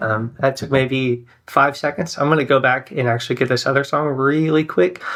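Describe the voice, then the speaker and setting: This man has a bright, sharp tone and ordinary pitch variation. He speaks at a fairly slow pace. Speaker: software founder and worship pastor. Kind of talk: software tutorial. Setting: church office. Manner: hesitant, many ums.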